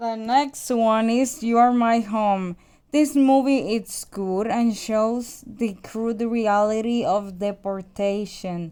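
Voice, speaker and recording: A woman with a Spanish accent speaks very slowly at a fairly high pitch, with ordinary pitch variation and hardly any pauses, on a very clean recording with a silent background. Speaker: movie reviewer. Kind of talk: casual review monologue.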